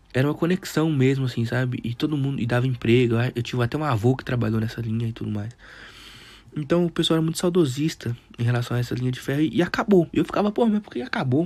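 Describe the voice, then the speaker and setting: In a very clean recording with a silent background, a man at medium pitch speaks at a very fast pace with ordinary pitch variation. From Brazil, Teófilo Otoni, Minas Gerais. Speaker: podcast host. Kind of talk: casual monologue. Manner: halting.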